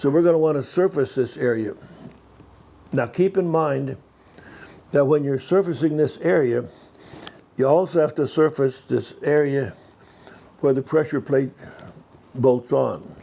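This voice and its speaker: A man's dark, mellow voice at a fairly slow pace, with long, frequent pauses, ordinary pitch variation and very even loudness. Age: 90s. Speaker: vintage car mechanic teaching restoration. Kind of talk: hands-on tutorial. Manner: halting, with repeated words and self-corrections. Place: workshop.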